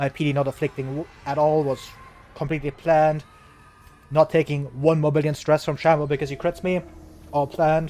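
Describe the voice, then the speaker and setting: Speaking with a German accent, a man uses a fairly high pitch and monotone, flat intonation. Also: fairly quick pace. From Germany. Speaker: video game streamer. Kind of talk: live gameplay commentary. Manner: casual, filler-heavy.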